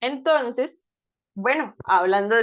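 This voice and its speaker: A woman with a high pitch and lively intonation talks at a moderate pace. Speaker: speech-language therapist giving a talk. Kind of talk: lecture.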